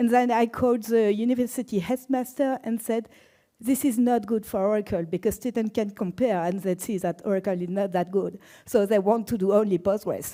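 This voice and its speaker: A woman with a French accent speaks at a moderate pace, fairly high in pitch, in a dark, mellow tone with ordinary pitch variation. The recording is very clean, with a silent background. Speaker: database expert and conference speaker. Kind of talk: conference talk.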